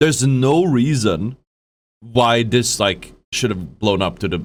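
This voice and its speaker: A man at medium pitch with a Swedish accent, at a fairly slow pace. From Sweden. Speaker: streamer reacting to a video. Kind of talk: live stream reaction commentary. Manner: halting, many fillers and restarts.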